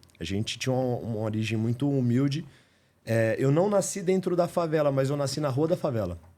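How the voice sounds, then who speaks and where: A man speaks at a fairly quick pace with a fairly high pitch. His tone is dark and mellow. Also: lively intonation. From Greater São Paulo, Brazil (São Caetano). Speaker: house painter turned business owner. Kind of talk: podcast interview. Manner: animated.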